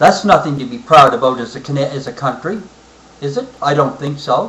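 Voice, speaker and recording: Over noticeable background noise, a man with a fairly high voice speaks fairly quickly, with lively intonation and big swings in loudness. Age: 60s. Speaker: military veteran. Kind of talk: personal political monologue. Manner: halting, frequent fillers.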